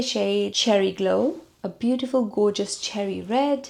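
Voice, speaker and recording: A woman's fairly slow speech in a non-native accent, with noticeable background noise. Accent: unique non-native English. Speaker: beauty vlogger. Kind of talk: makeup tutorial; casual chat.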